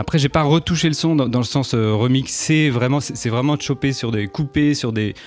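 A man at a moderate pace, with hardly any pauses, ordinary pitch variation and noticeable background noise. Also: medium pitch for a man. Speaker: jazz trumpeter. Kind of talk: interview. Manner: halting, repeats words.

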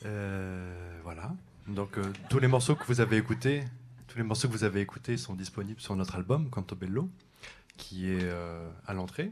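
Pausing long and often, a man with a fairly low pitch keeps a moderate pace. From Champagne-Ardenne, France. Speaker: jazz saxophonist. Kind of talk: on-stage announcements at a concert. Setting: jazz club stage with live audience. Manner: halting, many hesitations.

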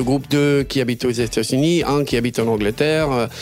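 A man with an English accent speaks while music plays in the background. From Britain. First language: English (speaking French). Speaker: singer-songwriter. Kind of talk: interview. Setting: studio. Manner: halting.

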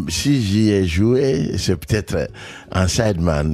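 Very deep and low in pitch, a man's dark, mellow voice moves at a very slow pace with very wide pitch swings. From Mali. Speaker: jazz pianist. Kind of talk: radio interview.

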